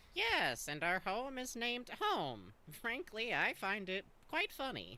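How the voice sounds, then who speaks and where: A put-on character voice, female-sounding and fairly high in pitch, at a fairly slow pace. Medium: game stream. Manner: fussy, proper, dry.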